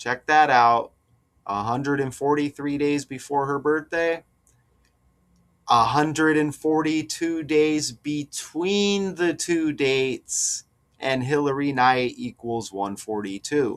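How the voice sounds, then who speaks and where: Very slowly, a man speaks in a fairly high pitch with ordinary pitch variation. The recording is very clean, with a silent background. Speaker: gematria video commentator. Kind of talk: casual commentary video. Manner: slow, careful.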